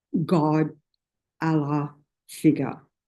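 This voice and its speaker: At a very slow pace, the speaker talks in an Australian accent. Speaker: Buddhist teacher. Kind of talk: dharma talk. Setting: meditation centre with small audience. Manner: loud; informal, hesitant with fillers.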